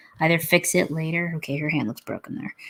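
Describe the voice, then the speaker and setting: A woman mumbles. Her pitch is fairly low. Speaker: comic artist livestreamer. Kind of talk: live drawing stream, thinking aloud. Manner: mumbling to herself; casual, halting.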